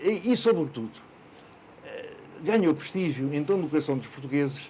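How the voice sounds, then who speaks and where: A man with a dark, mellow tone speaks with lively intonation and big swings in loudness. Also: fairly high pitch for a man, moderate pace. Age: 80s+. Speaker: local historian. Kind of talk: interview. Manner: hesitant, with many fillers.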